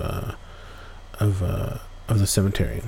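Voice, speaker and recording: Noticeable background noise accompanies a man talking at a fairly slow pace with a fairly low pitch. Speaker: podcast host. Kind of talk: campfire-style ghost story telling, casual and conversational with asides to listeners.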